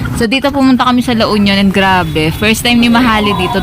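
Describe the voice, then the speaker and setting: Speaking at a very fast pace, a woman sounds animated, with ordinary pitch variation. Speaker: travel vlogger. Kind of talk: casual vlog talk.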